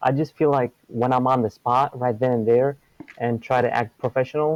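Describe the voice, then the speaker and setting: Against a quiet background, a man with an Arabic accent speaks at a medium pitch with fairly even intonation, the sound dry and close with no echo. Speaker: caller seeking advice. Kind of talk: advice call. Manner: halting.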